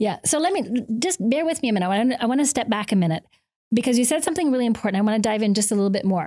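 Speaking at a very fast pace over a quiet background, a woman has a fairly high pitch, a dark, mellow tone and lively intonation. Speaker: podcast host. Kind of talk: interview. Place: studio. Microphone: studio mic.

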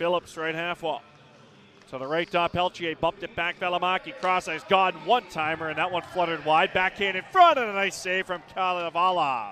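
A man with a high pitch speaks in an energetic tone over light background noise. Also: ordinary pitch variation, fairly quick pace, dry sound with no echo. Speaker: hockey play-by-play announcer. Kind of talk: live play-by-play commentary over game action, spliced into highlight reel. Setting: arena broadcast of a game in Stockton. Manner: rapid-fire, clipped calls that climb in excitement on goals; energetic, urgent delivery. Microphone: headset.

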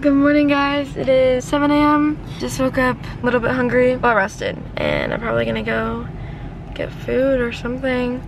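A woman talks at a moderate pace, the sound dry with no echo and noticeable background noise behind her. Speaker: vlogger on a solo road trip. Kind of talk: casual vlog chat. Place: car. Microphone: phone near.

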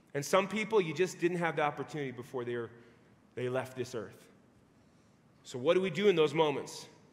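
This man talks at a fairly quick pace. His intonation is lively. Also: big swings in loudness. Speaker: preacher. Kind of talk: sermon. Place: church.

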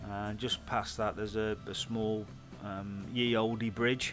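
A man at a fairly slow pace in a monotone, flat delivery, with clear music in the background. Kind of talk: casual commentary. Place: open country. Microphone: helmet.

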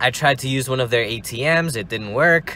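Over light background noise, a man talks at a fairly quick pace with lively intonation, the sound dry with no echo. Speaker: vlogger. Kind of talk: casual vlog chat. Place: car. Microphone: phone near.

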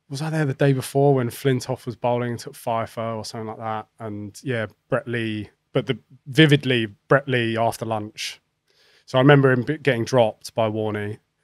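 Speaking at a moderate pace with an English accent, a man shows big swings in loudness in a dry sound with no echo against a quiet background. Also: medium pitch for a man, fairly even intonation. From England. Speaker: professional cricketer. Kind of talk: casual chat. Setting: studio. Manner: halting. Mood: relaxed storytelling. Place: studio. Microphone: studio mic.

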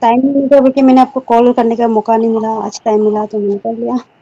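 This woman speaks at a fast pace in a fairly high pitch, with a dark, mellow tone and little pitch movement.

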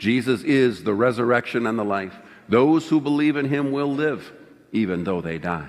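A man's voice at a moderate pace, lively in intonation, over a quiet background. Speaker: minister leading liturgy. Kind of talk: liturgical reading. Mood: solemn, festive Easter. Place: church.

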